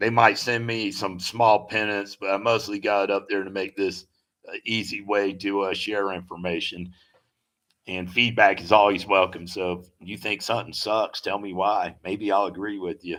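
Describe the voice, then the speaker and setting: Speaking with an American accent, a man has a fairly low pitch and monotone, flat intonation. His moderate pace comes with big swings in loudness. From US South, Tennessee. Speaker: travel vlogger and river guide. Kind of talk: live stream Q&A, casual chat. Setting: live stream from home. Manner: casual, rambling with fillers.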